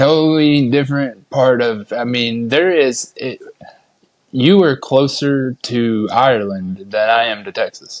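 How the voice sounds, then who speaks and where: This man talks fairly slowly, with a medium pitch and ordinary pitch variation. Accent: Appalachian. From Appalachia, US. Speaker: podcast host. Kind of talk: casual interview chat.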